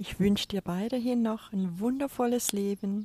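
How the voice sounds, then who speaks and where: A woman's voice has a dark, mellow tone on a very clean recording with a silent background. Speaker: spiritual coach podcaster. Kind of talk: spiritual monologue. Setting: outdoors on a balcony.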